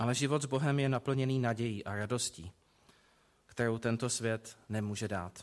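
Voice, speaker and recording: A man talks in an unremarkable speaking voice at medium pitch. His pace is moderate, and his pitch varies an ordinary amount. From Prague, Czechia. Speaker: preacher. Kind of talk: sermon.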